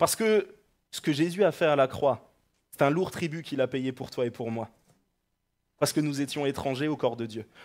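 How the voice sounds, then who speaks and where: The background is quiet as a man speaks in an animated, warm tone. He keeps a moderate pace with ordinary pitch variation. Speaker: preacher. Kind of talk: sermon. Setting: church. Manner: halting, with repeated words and fillers. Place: church. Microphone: headset.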